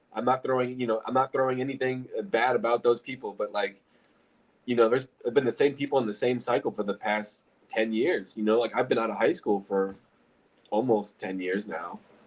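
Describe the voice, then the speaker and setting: Speaking at a fairly quick pace with an American accent, a man has an ordinary speaking voice with a medium pitch and ordinary pitch variation. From Illinois. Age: 20s. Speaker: real estate investor. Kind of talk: casual chat.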